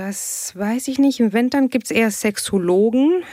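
With a dark, mellow tone, a woman speaks at a fairly slow pace as her pitch swings very widely. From Tunisia (Tunis). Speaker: aerospace engineer and sex therapist. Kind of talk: casual chat.

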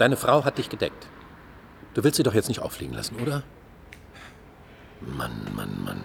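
Putting on a character voice, a man speaks at an extremely low pitch with vocal fry and very wide pitch swings. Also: moderate pace.

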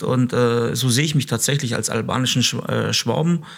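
Over noticeable background noise, a man speaks fairly quickly at medium pitch with fairly even intonation. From Stuttgart, Germany (Kosovo-born). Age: 30s. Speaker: police officer and comedian. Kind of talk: interview.

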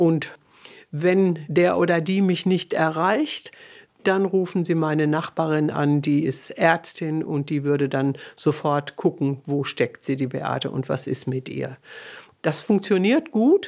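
A woman speaks very slowly in a very deep, low voice with ordinary pitch variation. The recording is very clean, with a silent background. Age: 70s. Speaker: featured interviewee, mother of the reporter. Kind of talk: documentary interview. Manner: talkative.

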